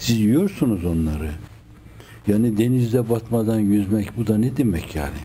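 Light background noise runs under a man who speaks at a moderate pace. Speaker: religious teacher. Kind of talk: sermon. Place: home room.

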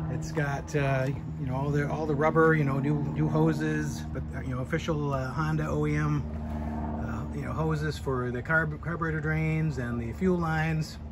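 Loud background noise accompanies a man who talks at a moderate pace. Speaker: seller who restored the motorcycle. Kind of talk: walkaround commentary. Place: street. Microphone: phone near.

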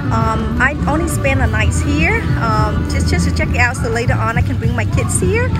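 Over loud background music, a woman talks at a moderate pace in a dry sound with no echo. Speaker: travel vlogger. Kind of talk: casual vlog chat. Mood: cheerful. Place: beach. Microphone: phone near.

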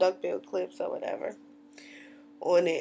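A woman with a Southern US accent talks at a moderate pace against light background noise. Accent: Southern US twang. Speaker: natural hair vlogger. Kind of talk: casual talk to camera. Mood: cheerful, chatty. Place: home room. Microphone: webcam.

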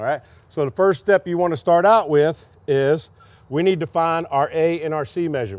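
A man talks at a moderate pace with ordinary pitch variation, the sound dry with no echo. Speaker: pipefitting instructor. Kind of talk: tutorial. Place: open country.

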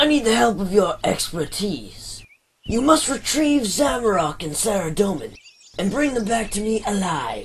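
This is a put-on character voice pitched fairly high. It moves along at a moderate pace. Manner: gloating, grandiose.

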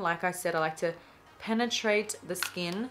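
A woman's voice with ordinary pitch variation and music in the background. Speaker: beauty vlogger. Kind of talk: tutorial.

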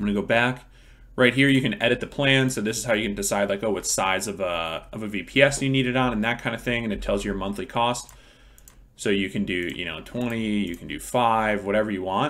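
At a fairly quick pace, a man talks in a fairly low pitch with ordinary pitch variation. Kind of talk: tutorial. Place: home room.

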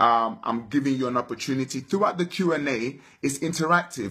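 With lively intonation, a man speaks at a moderate pace against a quiet background. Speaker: motivational vlogger. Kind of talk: motivational live Q&A talk. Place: home room. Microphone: phone near.

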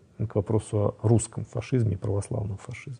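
This man's voice is somewhat breathy with a dark, mellow tone, moving at a fairly quick pace. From Russia. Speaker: scholar of Islam. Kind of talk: interview.

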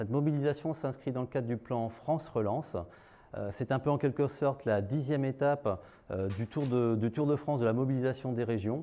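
With fairly even intonation, a man speaks in a dark, mellow tone. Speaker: event host. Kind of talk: formal event opening speech. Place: hall. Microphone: lapel.

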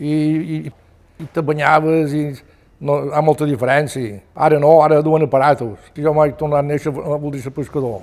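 A man speaks with a Mallorcan accent. His pace is moderate and his intonation fairly even. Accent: Mallorcan Catalan. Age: 80s+. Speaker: retired fisherman. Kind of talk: oral history testimony. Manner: halting. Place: home room.

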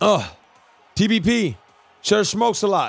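A loud, animated man with a high pitch, music playing in the background. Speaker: Twitch gaming streamer. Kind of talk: live gaming stream chat.

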